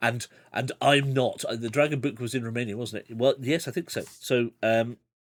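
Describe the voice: The clip consists of plain reading aloud.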